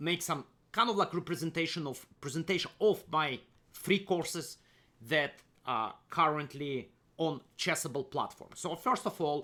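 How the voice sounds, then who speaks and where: In a very clean recording with a silent background, a man with a fairly high pitch and a bright, sharp tone talks at a fairly slow pace with ordinary pitch variation. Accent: Russian. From Kazakhstan, Soviet Union. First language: Russian. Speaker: chess grandmaster and coach. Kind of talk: screen-share tutorial presentation. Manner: halting, many fillers and repeats.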